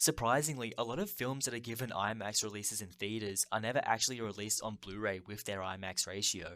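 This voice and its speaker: In an Australian accent, a man talks fairly quickly at a fairly low pitch with a bright, sharp tone and fairly even intonation. The recording is very clean with a silent background. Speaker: film video essayist. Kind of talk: scripted narration.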